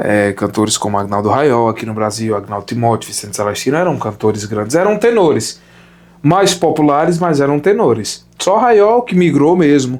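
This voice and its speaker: Fairly high male pitch with very wide swings, from a man at a moderate pace. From Sertão of Pernambuco, Brazil. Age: 20s. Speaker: opera singer. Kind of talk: casual interview chat.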